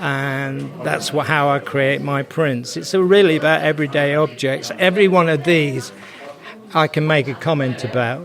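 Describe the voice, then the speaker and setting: A man talking at moderate speed, his pitch fairly high and varying in an ordinary way, is heard against noticeable background noise. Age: 70s. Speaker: retired art teacher, printmaker. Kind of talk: casual interview at a market stall. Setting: arts and crafts market.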